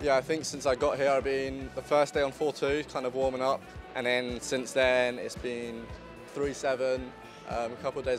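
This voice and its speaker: Male speech with clear music behind it and a dry, echo-free sound. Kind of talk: casual vlog chat. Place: street. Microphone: handheld.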